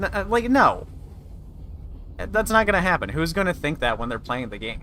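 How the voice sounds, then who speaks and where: A man speaks in a high voice with very wide swings in pitch. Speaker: gaming streamer. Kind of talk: live gameplay commentary. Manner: fast.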